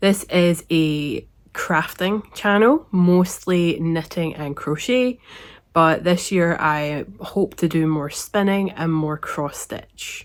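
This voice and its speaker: At a very slow pace, a woman with a Scottish accent speaks at a fairly low pitch with ordinary pitch variation, on a very clean recording with a silent background. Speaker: knitting podcaster. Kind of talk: casual talk to camera.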